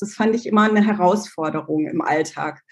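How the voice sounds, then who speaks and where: Moving at a moderate pace, this voice carries a somewhat breathy quality. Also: woman. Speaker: brand coach. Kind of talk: podcast interview.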